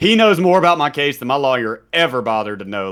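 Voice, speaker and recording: His intonation is lively. The man speaks with a Southern US accent. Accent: mild Southern. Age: 30s. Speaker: streamer and former prisoner. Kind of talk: podcast interview storytelling. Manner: casual, conversational.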